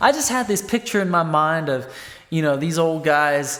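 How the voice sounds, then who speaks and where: Over noticeable background noise, someone with an American accent talks at a moderate pace. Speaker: country songwriter. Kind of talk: casual vlog monologue. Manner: conversational, filler-heavy.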